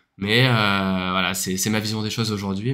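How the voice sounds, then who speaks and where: On a very clean recording with a silent background, a man's words come at a fairly quick pace. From France. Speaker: podcast co-host. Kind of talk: casual chat. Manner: hesitant, many filler sounds.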